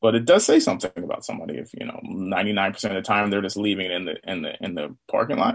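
With big swings in loudness, a man speaks at a very fast pace with hardly any pauses. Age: 40s. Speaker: charity co-founder and business owner. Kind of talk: casual interview.

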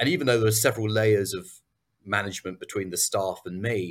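A man with an English accent speaks at a fairly low pitch, somewhat breathy. The recording is very clean, with a silent background. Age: 50s. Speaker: business acquisition entrepreneur. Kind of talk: interview.

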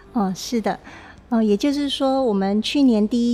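The woman's tone is dark and mellow. Her pitch varies an ordinary amount. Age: young. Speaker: arts foundation chairwoman. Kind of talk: interview. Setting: on location, outside the studio.

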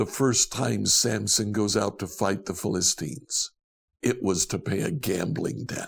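A man with vocal fry talks at a fairly slow pace, using a fairly low pitch and lively intonation. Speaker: devotional host. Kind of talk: devotional teaching, conversational. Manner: casual, with hesitations.

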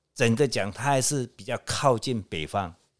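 A man with an ordinary speaking voice at a fairly slow pace, in a very clean recording with a silent background. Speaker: feng shui consultant. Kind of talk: casual chat. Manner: filler-heavy, drawn-out particles.

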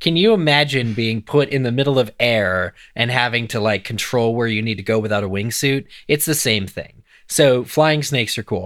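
At a moderate pace, a man talks in an unremarkable speaking voice at a medium pitch with ordinary pitch variation, on a very clean recording with a silent background. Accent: American. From eastern Pennsylvania. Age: 30s. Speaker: podcast co-host. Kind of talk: casual chat.

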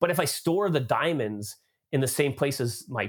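A man talks with a Canadian accent. The recording is very clean, with a silent background. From Canada. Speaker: tech company marketing executive. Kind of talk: interview.

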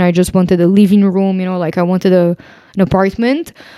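Very fast and with a Portuguese accent, a woman speaks in a dark, mellow, medium-pitched voice on a very clean recording with a silent background and a dry, close sound with no echo. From Brazil. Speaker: podcast co-host, digital nomad. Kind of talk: casual chat.

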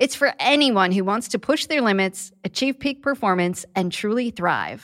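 Here is a woman with a plain, everyday voice and lively intonation. She talks at a moderate pace on a very clean recording with a silent background. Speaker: therapist and podcast host. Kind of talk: podcast ad read.

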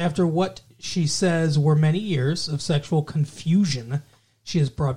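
A man speaks at a moderate pace with a dark, mellow tone and a fairly high pitch. His voice is somewhat breathy and playful, with fairly even intonation. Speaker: podcast host. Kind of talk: casual banter chat. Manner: joking, playful.

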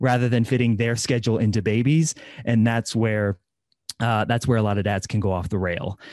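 A man speaks at medium pitch with a Midwestern American accent. The background is quiet. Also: dry, close sound with no echo. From US Midwest. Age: 30s. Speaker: fitness coach and podcaster. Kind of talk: interview.

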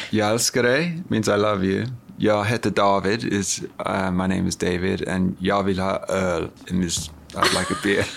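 Noticeable background noise sits under a man's fairly low voice, which moves at a very slow pace. His loudness stays very even and his pitch varies in an ordinary way. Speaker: brand co-founder. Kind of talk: casual chat.

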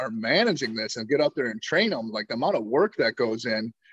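A man with an Upper Midwest accent speaks with lively intonation, his voice dry and close with no echo. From Wisconsin, Door County. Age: 40s. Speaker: hunting content creator, Marine veteran. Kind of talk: casual interview.

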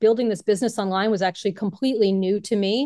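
An unremarkable speaking voice with fairly even intonation comes through over a quiet background. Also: woman. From Brooklyn, New York. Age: 50s. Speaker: yoga teacher turned online marketer. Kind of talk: interview.

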